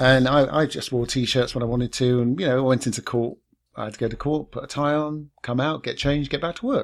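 A man with a British accent speaks at a moderate pace, his voice fairly high for a man, with ordinary pitch variation. The recording is very clean, with a silent background. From London. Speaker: podcast host. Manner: laid back.

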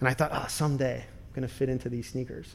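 With an unremarkable speaking voice, a man talks fairly high in pitch, keeping fairly even intonation. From US Midwest, suburb of Minneapolis, Ukrainian immigrant family. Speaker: TV producer and director. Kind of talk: interview.

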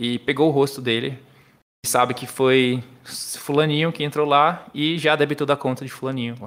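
His intonation holds fairly even throughout. The speaker is a man. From Brazil, Paraíba (João Pessoa). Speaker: software developer with a master's in computer science. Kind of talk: casual podcast interview, technical explanations.

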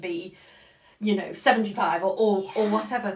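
Over noticeable background noise and audible room echo, a woman speaks in a fairly high pitch. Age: middle-aged. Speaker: podcast co-host and Pilates client. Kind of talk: casual chat.

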